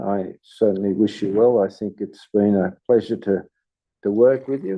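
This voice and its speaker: A man with an Australian accent, fairly low pitch, ordinary pitch variation and a fairly slow pace. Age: 80s+. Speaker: local councillor. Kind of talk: farewell speech at council meeting. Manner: halting.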